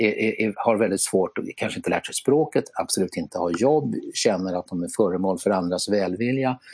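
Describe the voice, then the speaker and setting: In a quiet background, a man with an unremarkable speaking voice and a fairly low pitch talks at a moderate pace with lively intonation. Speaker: podcast co-host. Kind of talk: casual chat. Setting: remote online recording. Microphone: simple earphones headset instead of studio mic.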